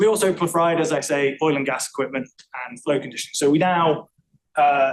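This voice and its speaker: Fairly quick speech from a man with an English accent, fairly high in pitch, with ordinary pitch variation. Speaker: acoustical engineer presenting a talk. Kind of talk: technical presentation. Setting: room with live audience. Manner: fast; talkative, chatty.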